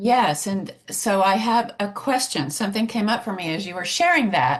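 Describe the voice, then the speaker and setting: Somewhat breathy, a woman's medium-pitched voice moves at a moderate pace. Her pitch swings very widely. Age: 60s. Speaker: group participant. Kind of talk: group discussion.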